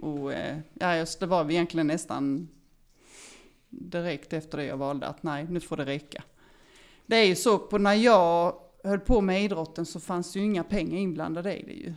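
On a very clean recording with a silent background, a woman with an unremarkable speaking voice talks at a moderate pace in a fairly low pitch with ordinary pitch variation. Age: 50s. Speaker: former elite swimmer. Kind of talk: interview.

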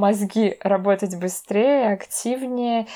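A woman's unremarkable speaking voice, medium in pitch with fairly even intonation, on a very clean recording with a silent background. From Russia, Veliky Novgorod. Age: 20s. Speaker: cultural studies graduate student. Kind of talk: casual interview.

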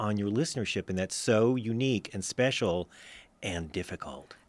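A man with an ordinary speaking voice talks at a fairly quick pace with ordinary pitch variation. The sound is dry and close with no echo, and the recording is very clean, with a silent background. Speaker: radio host. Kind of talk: radio magazine show. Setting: studio.

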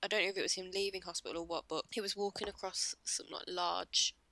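With an English accent, a woman speaks at a medium pitch in a bright, sharp tone with fairly even intonation, the sound dry and close with no echo. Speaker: podcast co-host. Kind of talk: casual chat.

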